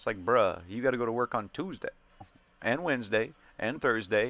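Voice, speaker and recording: With music in the background, a man speaks at medium pitch. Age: 30s. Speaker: gaming streamer. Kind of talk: casual chat over gameplay. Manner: fast; sometimes slurred when speaking fast.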